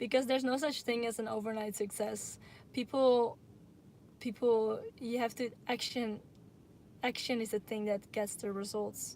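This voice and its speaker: In a Dutch accent, a woman speaks at a moderate pace with a fairly high pitch and monotone, flat intonation. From Netherlands. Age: 20s. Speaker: YouTuber. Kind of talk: live Q&A stream. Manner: halting.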